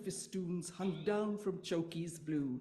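A woman's somewhat breathy, dark and mellow voice at a fairly slow pace. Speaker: audience member. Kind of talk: reading aloud. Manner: dramatic. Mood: playful, humorous nonsense verse. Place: hall. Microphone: podium.

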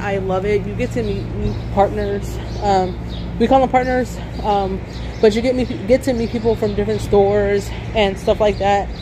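Over noticeable background noise, a woman speaks at a moderate pace with long, frequent pauses. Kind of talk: casual vlog chat. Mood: upbeat, enthusiastic. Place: street. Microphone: phone near.

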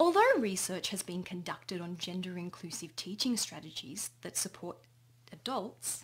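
A woman talks at a moderate pace. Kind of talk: conference presentation. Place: home room. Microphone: webcam.

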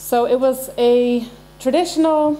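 Over noticeable background noise, a woman with an American accent speaks at a high pitch with ordinary pitch variation. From Ireland. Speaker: engineering manager, keynote speaker. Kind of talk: keynote speech. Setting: stage with audience.

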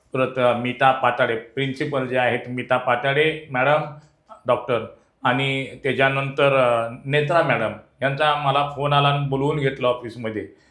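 The man keeps a medium pitch and a monotone, flat intonation. His loudness stays very even. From Maharashtra, Sangli district. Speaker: traditional tutari player and folk art trainer. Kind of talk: interview.

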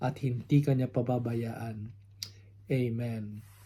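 A man's very slow, monotone voice at medium pitch, dark and mellow in tone, somewhat breathy, with flat intonation. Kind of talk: sermon. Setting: home recording, unedited.

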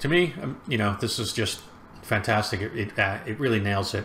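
A man talks at a moderate pace with a fairly low pitch, ordinary pitch variation and a fairly bright tone.

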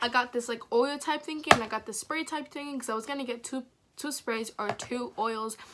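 Noticeable background noise behind a woman's high voice, fairly quick in pace, ordinary in pitch variation. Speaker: vlogger. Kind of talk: casual vlog chat. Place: home room. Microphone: phone near.

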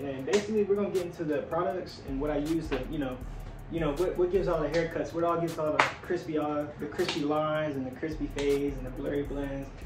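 With clear music playing behind him, a man talks at a very fast pace. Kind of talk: casual vlog chat. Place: home room. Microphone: camera far.

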